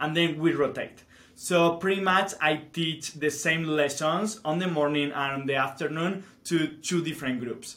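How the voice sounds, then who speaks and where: This man has a Spanish accent and a bright, sharp tone with fairly high pitch. His intonation stays fairly even at a moderate pace. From Spain. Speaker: teacher. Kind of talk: casual chat.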